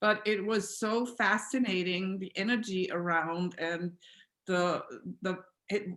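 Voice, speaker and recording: A woman of medium pitch speaks with an Austrian accent. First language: German. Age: 60s. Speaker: alternative healing practitioner. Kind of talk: interview.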